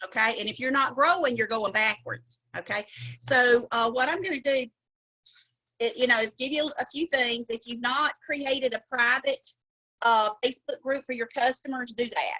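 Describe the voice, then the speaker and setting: The woman's high-pitched voice has a bright, sharp tone in a dry, close sound with no echo. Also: ordinary pitch variation. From US South. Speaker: cosmetics sales director. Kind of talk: motivational training talk. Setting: video call. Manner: animated.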